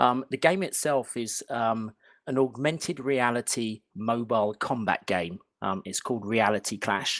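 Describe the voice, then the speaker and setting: A man's medium-pitched voice with a British accent and ordinary pitch variation, at a fairly slow pace, dry and close with no echo, on a very clean recording with a silent background. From London, England. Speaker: game company founder. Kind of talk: interview. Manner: hesitant, many fillers.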